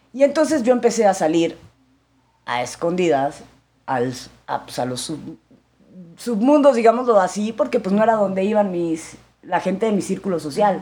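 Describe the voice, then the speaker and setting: Marked by long, frequent pauses, a woman's dark, mellow voice carries vocal fry and very wide pitch swings. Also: medium pitch for a woman, moderate pace. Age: 40s. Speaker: actress and businesswoman. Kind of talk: casual interview testimony.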